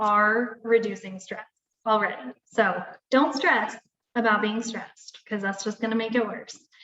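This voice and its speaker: A woman speaks in a plain, everyday voice. Her pitch is fairly high, and her pace is moderate. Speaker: wellness coach. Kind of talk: webinar presentation. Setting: live video webinar.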